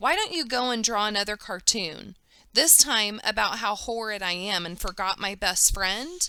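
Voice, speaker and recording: Lively in her intonation, a woman speaks at a medium pitch with an unremarkable speaking voice. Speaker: teacher. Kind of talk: children's book read-aloud.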